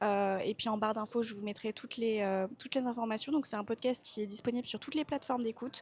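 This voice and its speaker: A woman speaks with fairly even intonation. Noticeable background noise runs under her voice. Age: 20s. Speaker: travel vlogger. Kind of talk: casual vlog monologue. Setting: airport.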